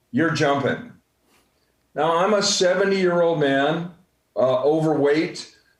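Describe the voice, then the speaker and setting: A man talks at a fairly slow pace with ordinary pitch variation. Audible room echo surrounds his voice. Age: 60s. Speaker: real estate coach and speaker. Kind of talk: motivational talk on a group call. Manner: halting, many fillers.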